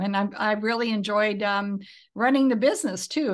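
Against a quiet background, a woman with an unremarkable speaking voice talks at a moderate pace, her fairly high pitch showing ordinary variation. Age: 60s. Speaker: business founder and philanthropist. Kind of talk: casual interview.

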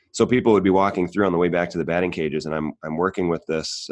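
Very fast and fairly even in intonation, a man speaks at a very deep, low pitch over a quiet background. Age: 30s. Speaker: gym owner. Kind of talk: casual chat. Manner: chatty.

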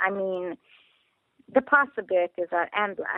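A woman speaks with a Hungarian accent. Her pitch is medium. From Hungary. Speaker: trafficking survivor and police trainer. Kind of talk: interview. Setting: phone call.

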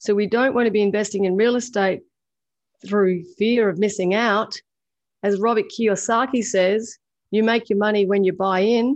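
A woman with an Australian accent speaks at a moderate pace and medium pitch, with fairly even intonation and very even loudness, over a quiet background. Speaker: podcast co-host, property investor. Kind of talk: casual chat.

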